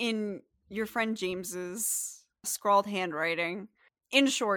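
A plain reading aloud, set against a quiet background.

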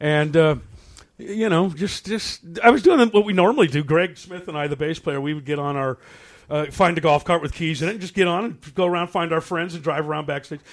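Recorded very cleanly against a silent background, a man with a high pitch speaks at a fairly quick pace. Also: ordinary pitch variation. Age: 60s. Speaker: rock musician. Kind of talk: casual interview. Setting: studio.

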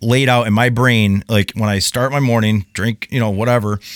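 A man with an unremarkable speaking voice speaks at a medium pitch and a moderate pace. The sound is dry and close with no echo, on a very clean recording with a silent background. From US Midwest. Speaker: construction tradesman. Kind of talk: casual chat. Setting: in-person recording with microphones.

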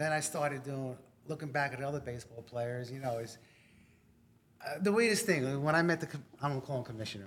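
A man with a New York accent talks very fast in a fairly high pitch, with ordinary pitch variation and big swings in loudness. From New York, Long Island. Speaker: army veteran. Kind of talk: casual interview.

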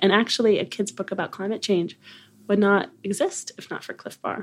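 The recording is very clean, with a silent background. An unremarkable speaking voice moves at a moderate pace. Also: woman. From Connecticut, US. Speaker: podcast co-host, climate activist. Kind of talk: casual chat.

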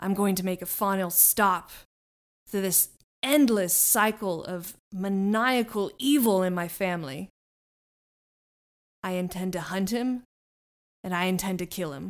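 Putting on a growling character voice, a woman speaks at a medium pitch and a moderate pace with long, frequent pauses. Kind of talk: gruff pirate-style sea captain voice. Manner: gruff, commanding, archaic "ye" speech.

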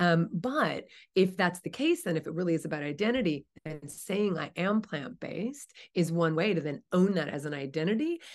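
This woman has an ordinary speaking voice, fairly low in pitch, with lively intonation. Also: moderate pace. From US East Coast, New Jersey. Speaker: vegan author and advocate. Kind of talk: interview conversation.

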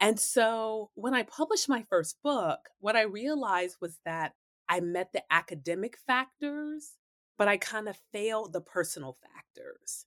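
Slowish and fairly high in pitch, this woman has an ordinary speaking voice. The recording is very clean and dry, close with no echo and a silent background. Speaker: historian and professor. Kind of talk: interview.

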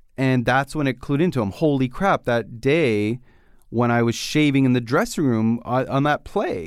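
In a very clean recording with a silent background, a man with an unremarkable speaking voice talks at a moderate pace and medium pitch with ordinary pitch variation. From Canada. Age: young. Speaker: podcast host. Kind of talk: interview.

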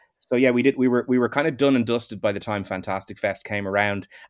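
This man speaks at a very fast pace. His pitch variation is ordinary. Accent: Irish. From Ireland. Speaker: film director. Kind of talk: casual chat.

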